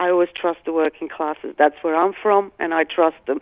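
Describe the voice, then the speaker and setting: The speaker talks at a moderate pace in an English accent. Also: woman. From Britain. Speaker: investigator. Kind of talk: interview.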